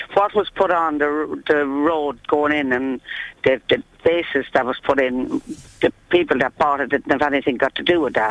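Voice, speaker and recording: With fairly even intonation, the woman talks at a moderate pace in a very deep, low pitch. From England, born in Ireland. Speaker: traveller resident. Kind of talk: interview.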